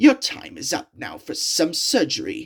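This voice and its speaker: Growling in a put-on character voice, a man speaks at a moderate pace with an extremely high pitch. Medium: read story. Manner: menacing.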